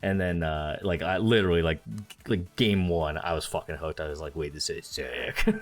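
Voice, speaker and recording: Music plays in the background as a man with a very deep, low pitch and ordinary pitch variation speaks at a moderate pace with hardly any pauses. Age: 20s. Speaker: gaming podcast co-host. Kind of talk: casual chat. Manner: halting.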